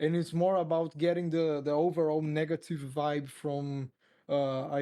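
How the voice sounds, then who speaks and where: Speaking in a Portuguese accent, the voice has a dark, mellow tone and monotone, flat intonation. The pace is moderate against a quiet background. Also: man. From Brazil, Porto Velho. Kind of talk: casual interview. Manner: halting.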